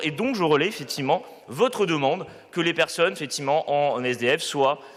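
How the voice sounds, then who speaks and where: A man talks with lively intonation at a fairly high pitch. Noticeable background noise runs behind him. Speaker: local councillor. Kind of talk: council debate reply. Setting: council chamber. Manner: loud; hesitant, many fillers.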